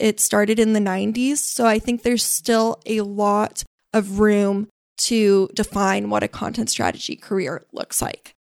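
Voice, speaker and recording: On a very clean recording with a silent background and a dry, close sound with no echo, a woman with an American accent speaks at a moderate pace in an unremarkable speaking voice with a fairly high pitch. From US West Coast, San Francisco Bay Area. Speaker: content strategist. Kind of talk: interview. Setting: studio.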